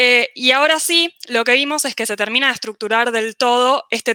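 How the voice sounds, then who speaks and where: A woman speaks at a fairly high pitch in a bright, sharp tone. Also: dry, close sound with no echo. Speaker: economics student panelist. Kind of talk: panel presentation. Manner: fast.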